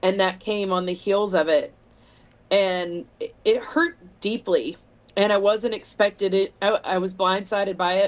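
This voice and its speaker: With an American accent, a woman talks at a fairly slow pace, her medium pitch showing ordinary variation. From Texas, Weatherford. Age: 40s. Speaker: singer-songwriter. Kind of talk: interview.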